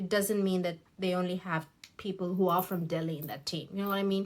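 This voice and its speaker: A woman speaks with a Tamil accent. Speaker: beauty YouTuber. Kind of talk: get-ready-with-me vlog with commentary. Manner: casual, hesitant with fillers and restarts.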